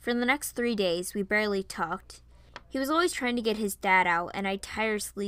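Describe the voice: The passage is given as plain reading aloud.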